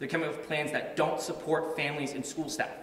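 A man talks in a space with audible room echo, light background noise underneath. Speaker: guest. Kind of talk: press conference speech. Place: hall. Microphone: podium.

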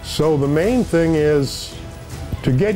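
Over clear music in the background, a man speaks with lively intonation. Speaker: race radio dispatcher and safety communicator. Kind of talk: interview answer, casual storytelling. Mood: reminiscing, wry humor. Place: studio.

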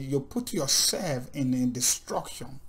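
The man's pitch swings very widely while he talks at a very slow pace. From Nigeria. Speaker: Bible teacher. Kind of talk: sermon. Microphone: webcam.

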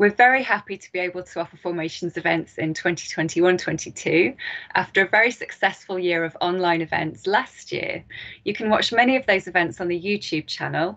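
Over a quiet background, the woman's pitch varies in an ordinary way. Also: moderate pace, big swings in loudness. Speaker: event host introducing a speaker. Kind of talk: formal event introduction. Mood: warm, welcoming. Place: home room. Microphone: webcam.

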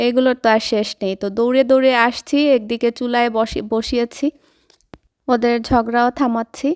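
A high-pitched woman's voice with fairly even intonation, dry and close with no echo, on a very clean recording with a silent background. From Bangladesh, Sylhet. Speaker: lifestyle vlogger. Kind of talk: vlog narration.

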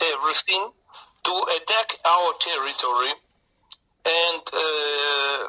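A man speaks at a very slow pace with a fairly high pitch, ordinary pitch variation, long and frequent pauses, and a dry, close sound with no echo. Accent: Russian. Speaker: trade union official. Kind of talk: interview answer. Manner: hesitant, halting, many filler pauses.

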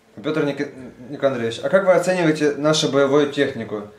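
The speaker talks at a fairly quick pace with ordinary pitch variation, and there is noticeable background noise. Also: man. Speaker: interviewer. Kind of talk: interview.

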